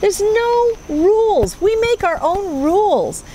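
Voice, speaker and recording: A woman's lively intonation comes through noticeable background noise. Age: 60s. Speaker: homesteading vlogger. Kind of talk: casual chat.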